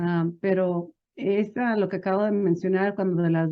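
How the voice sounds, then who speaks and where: The speaker has a slight non-native accent and talks at a moderate pace. The intonation stays fairly even. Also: woman. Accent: non-native-sounding Spanish, slight. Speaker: small business advisor. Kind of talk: interview. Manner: many fillers and restarts.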